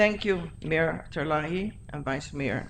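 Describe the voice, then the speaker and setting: Audible room echo surrounds a woman talking at a very slow pace with ordinary pitch variation. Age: 80s+. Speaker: school board member. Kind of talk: board meeting discussion.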